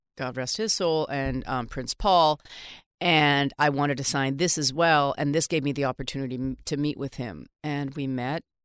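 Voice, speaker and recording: A woman speaks at a moderate pace with very deep, low pitch and fairly even intonation. The recording is very clean with a silent background and a dry, close sound with no echo. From Vancouver, Canada. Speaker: hip hop music manager and author. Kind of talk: interview.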